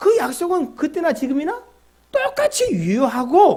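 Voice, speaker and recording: A man's dark, mellow voice with lively intonation. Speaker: pastor. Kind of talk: sermon. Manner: fast.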